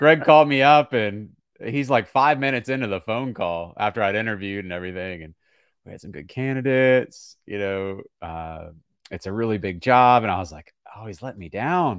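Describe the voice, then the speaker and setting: With an American accent and an ordinary speaking voice, the speaker talks at a fairly quick pace with lively intonation and big swings in loudness on a very clean recording with a silent background. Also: man, fairly low pitch for a man. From small-town Virginia. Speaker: play-by-play sports broadcaster. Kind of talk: podcast interview.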